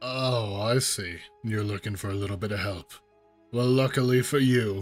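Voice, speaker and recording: Over faint music in the background, a man does a gruff, put-on character voice at a medium pitch and a moderate pace. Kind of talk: fantasy role-play.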